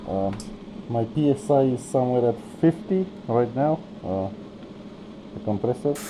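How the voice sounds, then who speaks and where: Long, frequent pauses break up speech delivered at a moderate pace, with noticeable background noise behind it. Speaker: miniature painter. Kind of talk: tutorial. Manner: casual.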